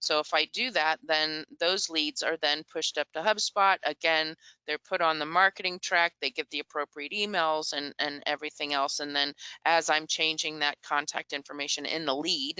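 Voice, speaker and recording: A woman with a very deep, low pitch talks at a moderate pace with fairly even intonation. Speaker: software integration presenter. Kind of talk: product demo webinar.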